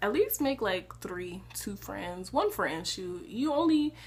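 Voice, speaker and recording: A woman is talking. Noticeable noise sits in the background. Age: young. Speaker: college student vlogger. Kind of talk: casual advice vlog. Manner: animated, conversational.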